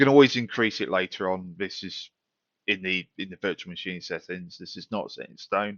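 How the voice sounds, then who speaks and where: Someone with a British accent talks at a fairly quick pace, with big swings in loudness. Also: man. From United Kingdom. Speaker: tech tutorial youtuber. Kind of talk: tutorial. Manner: casual, with fillers.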